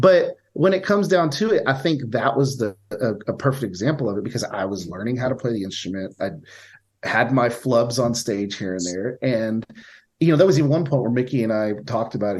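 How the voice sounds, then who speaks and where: Against a quiet background, a man with a normal speaking voice and a medium pitch talks at a fairly quick pace with lively intonation. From Texas, Victoria. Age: 30s. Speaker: touring guitarist and steel guitarist. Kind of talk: casual interview chat.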